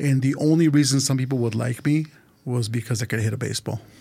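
Very fast and somewhat breathy, a man speaks at a medium pitch with fairly even intonation. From Los Angeles, California. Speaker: supporters group vice president. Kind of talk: casual chat. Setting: studio.

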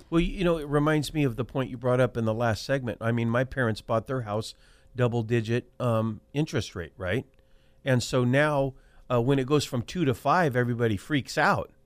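An ordinary speaking voice with an American accent moves at a fairly quick pace. Pitch variation is ordinary, and the recording is very clean with a silent background. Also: man, medium pitch for a man. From Central California, Selma (Fresno County). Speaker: county supervisor. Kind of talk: radio talk show interview.

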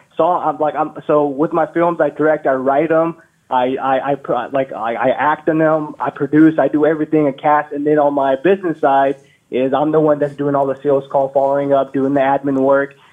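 At a moderate pace, a man speaks with a fairly high pitch. His intonation is monotone and flat. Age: 20s. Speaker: filmmaker and small business owner. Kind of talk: phone call-in question.

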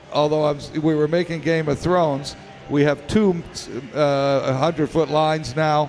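Over music in the background, a man with a fairly high pitch talks with fairly even intonation. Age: 70s. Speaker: pinball industry executive. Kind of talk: interview. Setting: live at a convention with audience.

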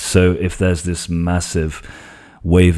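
Over a very clean recording with a silent background, a man speaks at a very deep, low pitch with a dark, mellow tone. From Portugal. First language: Portuguese. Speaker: tech YouTuber. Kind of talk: casual tech discussion.

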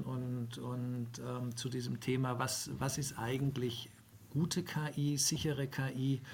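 A man speaks at medium pitch with a somewhat breathy voice. His intonation is monotone and flat. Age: 50s. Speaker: HR tech founder. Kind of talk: interview. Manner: halting.

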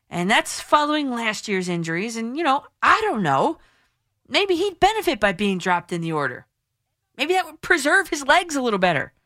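A woman's raised, projected voice, high and bright with a sharp tone, with very wide pitch swings and big swings in loudness. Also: moderate pace. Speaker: sports radio host. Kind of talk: call-in sports talk radio. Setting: radio studio. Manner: animated.

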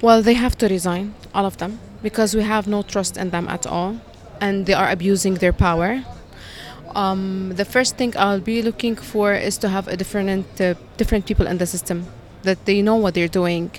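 Over noticeable background noise, a woman with an Arabic accent speaks with fairly even intonation. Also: medium pitch for a woman, moderate pace. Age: 20s. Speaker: college teacher. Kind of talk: street interview.

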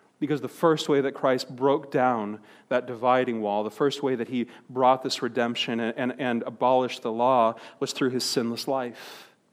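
A man in an Upper Midwest accent, medium-pitched, with monotone, flat intonation at a moderate pace, in a very clean recording with a silent background. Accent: Upper Midwest American. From Wisconsin, Milwaukee. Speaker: pastor. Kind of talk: sermon. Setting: church.

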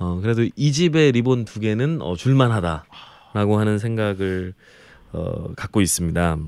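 With a plain, everyday voice, a man speaks at a fairly slow pace, his fairly low pitch carried by lively intonation. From Jeolla province, South Korea. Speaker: food columnist. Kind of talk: casual chat.

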